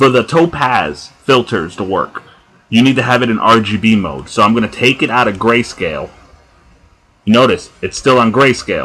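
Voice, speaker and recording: At a moderate pace, a man with a New Jersey accent speaks at medium pitch with ordinary pitch variation, his tone bright and sharp and touched by vocal fry. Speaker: tutorial maker. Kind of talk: software tutorial. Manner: casual, conversational.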